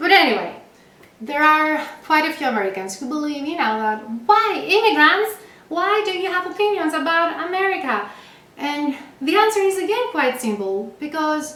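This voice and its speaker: In a room with audible echo, a woman speaks at a high pitch and a moderate pace, her pitch swinging very widely. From Greece. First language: Greek. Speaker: late-night comedy show host. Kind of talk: scripted comedy monologue. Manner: animated.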